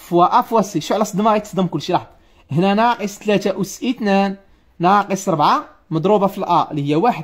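Against a quiet background, the voice carries an animated tone. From Morocco. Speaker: math tutor. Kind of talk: live online math lesson. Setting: livestream. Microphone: phone near.

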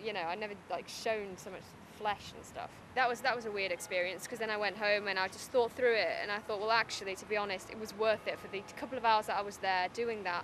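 Over noticeable background noise, a woman with a Teesside accent talks at a fairly quick pace. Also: dry sound with no echo. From Middlesbrough. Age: young. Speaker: writer and poet. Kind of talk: interview answer. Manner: casual, chatty. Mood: candid, slightly nervous laughter. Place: open country.

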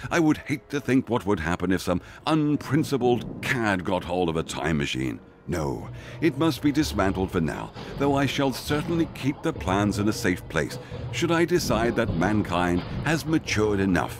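A gruff, put-on character voice from a man, fairly low in pitch with very wide pitch swings, at a moderate pace over clear background music. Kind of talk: comic period drama. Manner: gruff, earnest, stiff upper lip.

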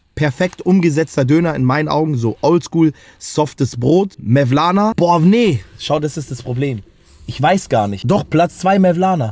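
Lively intonation and an animated tone come through in a dry sound with no echo. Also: man, moderate pace. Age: 20s. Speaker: YouTuber doing street interviews and food reviews; YouTuber doing street interviews, food reviews. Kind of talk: street interviews and food review vlog. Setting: outdoors in city streets and döner shops.

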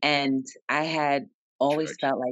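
The woman's voice sounds dry with no echo, set against a quiet background. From New Jersey, Jersey City. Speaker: author and entrepreneur. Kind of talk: interview. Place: office. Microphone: video call.

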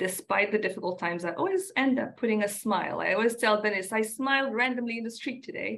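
Her intonation lively, a woman speaks very fast at a fairly high pitch with hardly any pauses. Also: quiet background. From Rwanda. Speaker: panel moderator for a nonprofit. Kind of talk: moderated panel discussion. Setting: online live session. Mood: warm, smiling. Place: home room. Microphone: video call.

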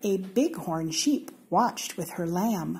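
In an American accent, a woman talks at a very slow pace with a somewhat breathy, dark, mellow tone. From Seattle, Washington, USA. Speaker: story reader. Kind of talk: children's storybook reading. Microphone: phone near.

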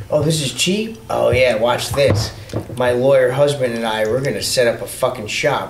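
Over noticeable background noise, the voice moves at a moderate pace with ordinary pitch variation. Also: man, medium pitch for a man. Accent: New York. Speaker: motorcycle rider. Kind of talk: casual chat.

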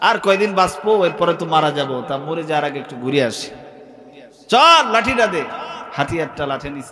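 With lively intonation and an animated tone, a man speaks at a fairly high pitch, his loudness swinging widely over light background noise. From Bangladesh. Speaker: Islamic preacher. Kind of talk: sermon. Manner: animated storytelling with crowd call-and-response. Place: stage. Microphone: studio mic.

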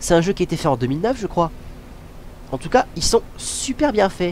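The man's voice is high in pitch. It swings very widely up and down. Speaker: gamer. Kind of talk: casual gameplay commentary. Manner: informal, hesitant, with swearing.

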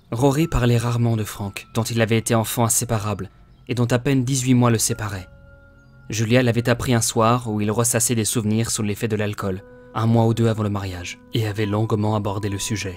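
Monotone, flat speech from a man at medium pitch and a fairly quick pace, music in the background. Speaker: audiobook narrator. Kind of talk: audiobook reading.

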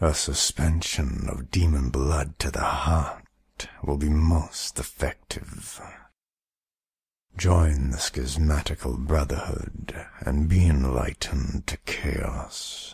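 A man puts on a character voice pitched very deep and low. He delivers it at a very slow pace. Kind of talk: character demo.

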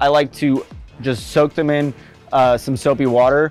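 Over faint background music, a man speaks with fairly even intonation. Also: dry sound with no echo. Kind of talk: tutorial.

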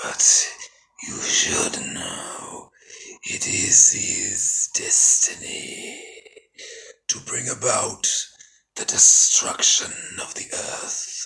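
In a raspy put-on character voice pitched extremely high, a man speaks at a very slow pace with long, frequent pauses. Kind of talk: film character voice impression. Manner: cold, solemn, detached.

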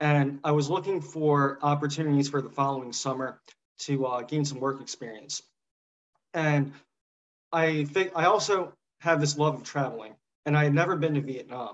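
Long, frequent pauses mark the speech of a man with an American accent. He keeps a moderate pace with ordinary pitch variation. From US South. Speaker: former intern. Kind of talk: panel interview. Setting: video call. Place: home room. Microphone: webcam.

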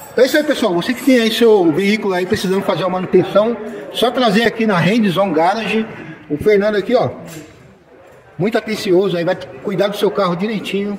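Light background noise sits under a man speaking at a fairly quick pace in a high pitch with ordinary pitch variation. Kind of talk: casual vlog chat. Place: garage. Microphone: phone near.

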